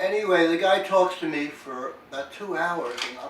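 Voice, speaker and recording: Noticeable background noise and audible room echo surround speech delivered at a moderate pace. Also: man. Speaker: poet. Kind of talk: casual chat. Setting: podcast interview.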